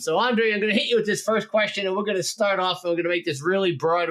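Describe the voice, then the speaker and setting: The speaker is male, with an American accent. Pitch shifts in an ordinary way. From New Jersey, US. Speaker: podcast host. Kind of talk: casual interview chat.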